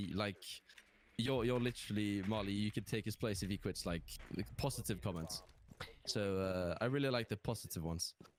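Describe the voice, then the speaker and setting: A man with a British accent speaks at a fairly quick pace and fairly low pitch, with ordinary pitch variation, very even loudness and long, frequent pauses. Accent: English (British) accent learned from gaming. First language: Norwegian. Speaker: gaming content creator. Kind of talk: casual interview chat. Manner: hesitant, many fillers.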